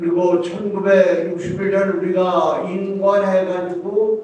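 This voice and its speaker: Noticeable background noise and audible room echo around a man's high voice. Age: 80s+. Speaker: retired military officer and church elder. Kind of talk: speech of encouragement. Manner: hesitant, many fillers.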